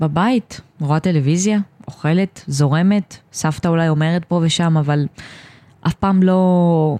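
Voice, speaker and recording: A woman speaks in a fairly low voice with ordinary pitch variation. The sound is dry and close, with no echo. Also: very even loudness. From Israel, Ashdod and Or Yehuda. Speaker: special education student. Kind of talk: personal testimony interview. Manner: halting.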